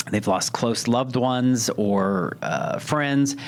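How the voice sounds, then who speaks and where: Ordinary pitch variation in a man's speech, noticeable background noise behind it. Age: 50s. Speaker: podcast host and business owner. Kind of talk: solo podcast monologue. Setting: studio. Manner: casual, halting with fillers and repetitions.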